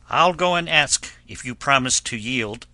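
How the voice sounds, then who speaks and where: A raspy, put-on character voice speaks at a moderate pace, with dry, close sound and no echo. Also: man, medium pitch for a man. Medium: read story. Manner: loud, calling out.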